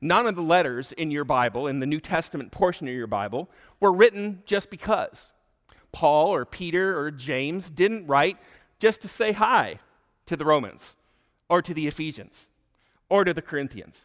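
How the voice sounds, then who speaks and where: Against a quiet background, a man with an unremarkable speaking voice talks with lively intonation. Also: fairly high pitch for a man, moderate pace. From US Midwest (Michigan). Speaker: pastor. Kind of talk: sermon.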